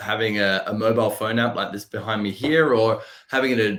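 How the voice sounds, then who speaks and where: A man is speaking. He has an Australian accent. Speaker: software company representative. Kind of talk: podcast interview.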